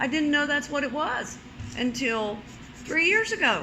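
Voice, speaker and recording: A woman's raised, projected, high voice at a moderate pace, with audible room echo. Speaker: salon client. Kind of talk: casual chat. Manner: loud.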